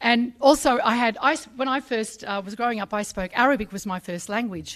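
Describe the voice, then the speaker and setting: Speaking at a moderate pace in an Australian accent, a woman sounds animated, with ordinary pitch variation on a very clean recording with a silent background. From Sydney, Australia. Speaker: journalist, ambassador. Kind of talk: speech at a public ceremony. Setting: stage with audience in a pavilion, live streamed. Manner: animated, with many fillers.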